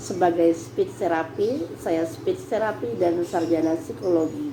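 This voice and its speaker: A woman's fairly low, lively voice at a very slow pace, with audible room echo and noticeable background noise. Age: 60s. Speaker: speech therapist. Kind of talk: tutorial.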